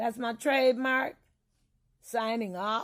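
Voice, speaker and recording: A woman talks at a moderate pace. Her intonation is fairly even. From US Midwest, Illinois. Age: 50s. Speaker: vlogger. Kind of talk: casual monologue.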